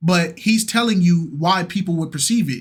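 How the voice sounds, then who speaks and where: A man speaks loudly in a high-pitched voice with ordinary pitch variation. The recording is very clean, with a silent background. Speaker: reaction youtuber. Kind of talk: casual chat. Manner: animated.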